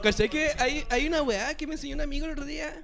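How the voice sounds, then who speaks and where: A man talks at a moderate pace. His pitch is extremely high. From Chile, Magallanes region. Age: 30s. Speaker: music producer and sound technician. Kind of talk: casual chat.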